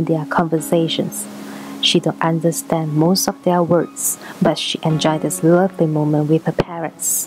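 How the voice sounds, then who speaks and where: Speech moves at a moderate pace with ordinary pitch variation. Music plays in the background. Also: woman. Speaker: painter. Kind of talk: read story.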